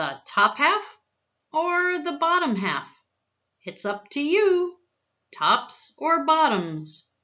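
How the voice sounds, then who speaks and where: In a put-on character voice, a woman speaks at a very slow pace and an extremely high pitch, with long, frequent pauses. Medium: read story. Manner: friendly.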